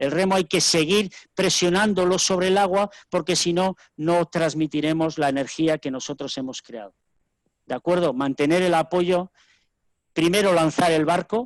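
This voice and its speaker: The sound is dry and close with no echo as a man speaks at a moderate pace in a high pitch, with ordinary pitch variation. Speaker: rowing coach. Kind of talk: lecture. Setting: webinar video call.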